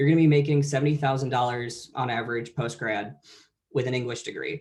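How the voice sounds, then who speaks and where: A man's fairly high, somewhat breathy voice at a very fast pace with fairly even intonation. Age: 20s. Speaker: veteran and college presenter. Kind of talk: conference presentation.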